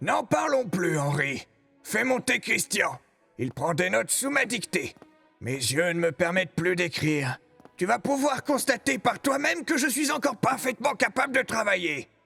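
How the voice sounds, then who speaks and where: In a put-on character voice, a man projects loudly at a high pitch with very wide pitch swings. He keeps a moderate pace, and faint music plays in the background. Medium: dub. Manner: brusque, headstrong.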